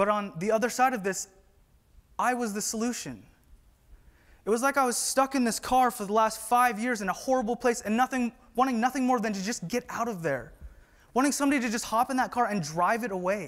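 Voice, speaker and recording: A man with a West Coast accent speaks at an extremely high pitch. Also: ordinary pitch variation. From US Pacific Northwest, Whatcom County, Washington. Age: 20s. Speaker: conference speaker, employee. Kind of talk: conference talk. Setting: stage with audience.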